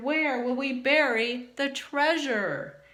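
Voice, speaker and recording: A woman bellows in a gruff, high-pitched put-on character voice. She speaks very slowly. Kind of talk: storybook pirate talk. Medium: read story. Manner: bellowing, gruff.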